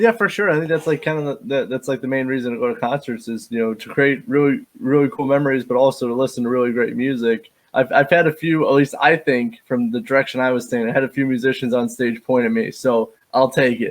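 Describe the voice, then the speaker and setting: Speaking very fast, a man with an American accent uses a medium pitch and ordinary pitch variation. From Indiana. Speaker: podcast host. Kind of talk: interview.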